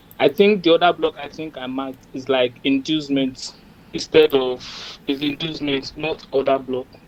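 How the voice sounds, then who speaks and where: Over noticeable background noise, a man speaks at a moderate pace and a fairly high pitch, with fairly even intonation and big swings in loudness. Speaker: trader. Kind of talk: casual chat. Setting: video call.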